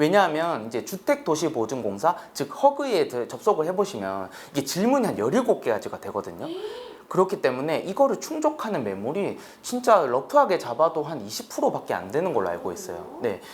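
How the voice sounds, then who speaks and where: A man with a slight Busan accent, fairly high-pitched, with very wide pitch swings and a fairly quick pace, over noticeable background noise. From South Korea, Busan. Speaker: lawyer. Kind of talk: casual explanatory interview.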